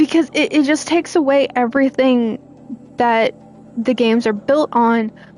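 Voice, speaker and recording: The speech moves at a fairly slow pace with music playing in the background. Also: woman. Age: 30s. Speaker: gaming streamer. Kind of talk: casual live stream commentary. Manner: halting.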